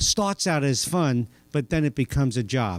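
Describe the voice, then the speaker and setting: In a New York accent, the speaker talks at a fairly slow pace in a dry, close recording with no echo and a very clean, silent background. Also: man. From Staten Island, New York. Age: 60s. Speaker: church member, former drug addict. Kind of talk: testimony.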